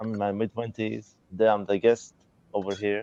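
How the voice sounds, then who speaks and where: A man with an Arabic accent talks at a moderate pace in a fairly low, dark and mellow tone, the sound dry and close with no echo. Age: 20s. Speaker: student. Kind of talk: live video call interview. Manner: halting.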